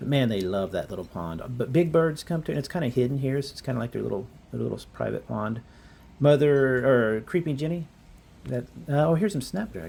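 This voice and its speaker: A man talks at a fairly quick pace with long, frequent pauses, his medium-pitched voice somewhat breathy and dark and mellow in tone. His intonation is lively. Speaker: gardening vlogger. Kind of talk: casual garden tour. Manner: fast; hesitant, many fillers.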